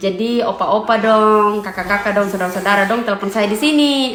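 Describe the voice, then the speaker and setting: The speaking pace is fairly quick. Audible room echo and noticeable background noise fill the recording. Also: woman. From eastern Indonesia, NTT (East Nusa Tenggara). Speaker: family vlogger. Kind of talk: casual vlog talk to camera. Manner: code-switches between Indonesian, NTT dialect and English.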